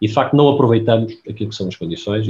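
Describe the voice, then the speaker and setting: His voice comes out somewhat breathy. The man speaks very fast. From Portugal, Aveiro. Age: 50s. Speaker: pharmaceutical executive. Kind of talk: interview.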